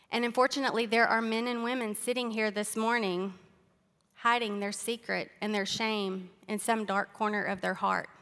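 A woman with a Southern US accent, bright and sharp in tone, flat and monotone at a moderate pace. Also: fairly high pitch for a woman. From Arkansas. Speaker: speaker sharing testimony. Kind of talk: testimony. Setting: church.

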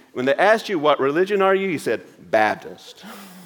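A man's high voice with a Southern US accent, fairly quick, with very wide pitch swings. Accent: Southern US (Georgia). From US South, Georgia. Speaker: pastor. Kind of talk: sermon. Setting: church.

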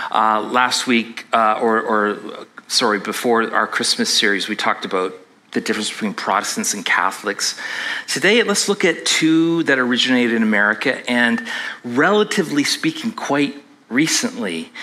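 Lively intonation and a moderate pace from a man at medium pitch, in a plain, everyday voice. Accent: Canadian. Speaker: pastor. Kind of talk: sermon. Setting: church with congregation.

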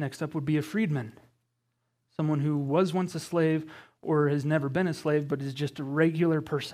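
On a very clean recording with a silent background, a man with an ordinary speaking voice and an American accent talks at a fairly quick pace, fairly high in pitch and with fairly even intonation. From Colorado, US. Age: 20s. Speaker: guest preacher. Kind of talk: sermon. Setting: church with congregation.

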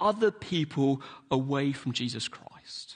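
A man speaks at a fairly slow pace with a London accent. His pitch swings very widely. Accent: southern English (London). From London, England. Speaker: pastor. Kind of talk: sermon. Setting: church.

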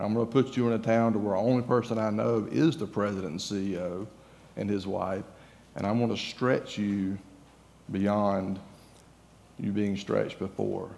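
With a Southern US accent, a man talks at a moderate pace in a fairly low voice, using ordinary pitch variation and long, frequent pauses. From Georgia, US. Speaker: guest preacher. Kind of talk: sermon. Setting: church.

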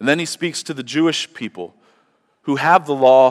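A man with a fairly high pitch speaks at a moderate pace in an ordinary speaking voice, with a dry, close sound and no echo. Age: 40s. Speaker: pastor. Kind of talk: sermon. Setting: church.

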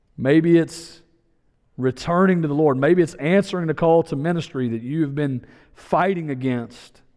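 A man with fairly high pitch and ordinary pitch variation. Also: moderate pace. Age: 40s. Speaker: guest preacher. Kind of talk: sermon. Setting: church. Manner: animated.

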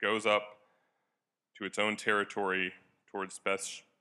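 A man's fairly low voice with a bright, sharp tone, monotone and flat, at a moderate pace. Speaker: Bible reader. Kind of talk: scripture reading aloud. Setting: church.

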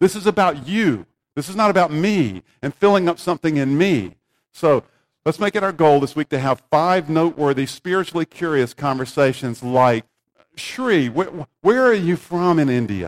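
A man speaks at a moderate pace with a plain, everyday voice and lively intonation, recorded very cleanly in a dry, close space with no echo and a silent background. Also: fairly high pitch for a man. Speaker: pastor. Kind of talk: sermon. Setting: church.

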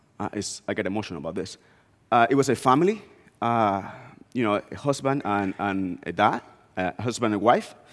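With a Spanish accent and a fairly low pitch, a man talks fairly quickly with ordinary pitch variation and long, frequent pauses on a very clean recording with a silent background. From Dominican Republic, small northeastern town. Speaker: guest preacher, missions executive. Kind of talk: sermon.

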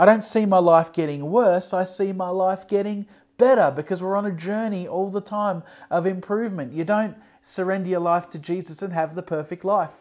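Delivery moves at a moderate tempo. An Australian accent comes through. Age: 40s. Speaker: pastor. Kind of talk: sermon. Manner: animated.

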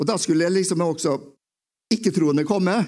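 A man's dark, mellow tone. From Romsdal, western Norway (Åndalsnes). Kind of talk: testimony talk in church. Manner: halting, repeating words.

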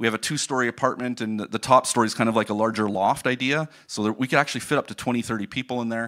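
A man's medium-pitched voice with a Canadian accent, bright, sharp tone and fairly even intonation, at a very fast pace with hardly any pauses, in a very clean, dry, close recording with a silent background and no echo. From Ontario, Canada. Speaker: missionary. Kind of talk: sermon. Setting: church.

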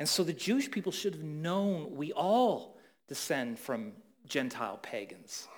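An ordinary speaking voice with a Canadian accent moves at a fairly slow pace with lively intonation. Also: man. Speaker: pastor. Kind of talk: sermon.

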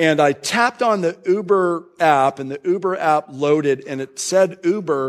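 This is a very clean recording with a silent background, featuring a man with an American accent. He has an unremarkable speaking voice, a fairly high pitch and ordinary pitch variation. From Florida, US South. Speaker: pastor. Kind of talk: sermon.

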